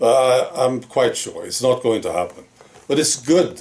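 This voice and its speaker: Using a plain, everyday voice, a man speaks at a medium pitch and a fairly slow pace. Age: 60s. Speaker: political commentator. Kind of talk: opinion monologue.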